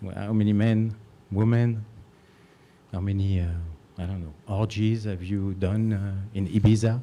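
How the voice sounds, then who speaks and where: A man with a non-native accent talks at a moderate pace with long, frequent pauses. His fairly low voice has a dark, mellow tone and monotone, flat intonation. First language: not English. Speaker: parent speaking at public comment. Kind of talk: public comment at school board meeting. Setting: school board meeting. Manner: halting, many fillers.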